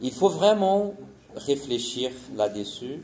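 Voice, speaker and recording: With a Portuguese accent, a man talks at a fairly high pitch with very wide pitch swings, and audible room echo surrounds his voice. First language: Portuguese (speaking French). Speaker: missionary. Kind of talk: conference presentation. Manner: halting, many hesitations.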